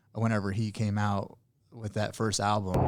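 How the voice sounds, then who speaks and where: A man with a slight Southern Illinois accent, a fairly low pitch and flat, monotone intonation, in a very clean recording with a silent background. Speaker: podcast host. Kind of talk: podcast interview. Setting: studio.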